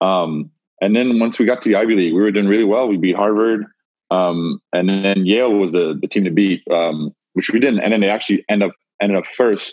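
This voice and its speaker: A man talks fairly quickly in a plain, everyday voice, with fairly low pitch and ordinary pitch variation. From Montreal, Canada. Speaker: college basketball player. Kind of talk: casual interview.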